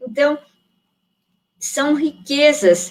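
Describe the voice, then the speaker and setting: A woman's high-pitched voice. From São Paulo, Brazil. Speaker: theologian. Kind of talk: panel discussion. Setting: online live stream. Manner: halting.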